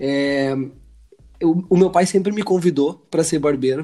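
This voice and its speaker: Speaking at a moderate pace, a man has a high-pitched voice with a dark, mellow tone and fairly even intonation. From Brazil. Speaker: barber and educator. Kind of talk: casual chat.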